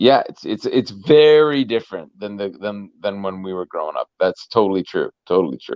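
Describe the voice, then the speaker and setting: With an ordinary speaking voice, the speaker keeps a moderate pace with hardly any pauses, lively intonation and big swings in loudness. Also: man, fairly low pitch for a man. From Canada. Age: 40s. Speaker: musician. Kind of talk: casual interview chat.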